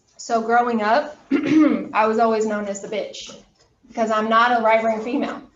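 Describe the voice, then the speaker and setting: There is audible room echo around a woman whose fairly high voice keeps a fairly even intonation. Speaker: college anatomy instructor. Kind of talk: lecture. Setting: classroom, also streamed on video call. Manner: fast.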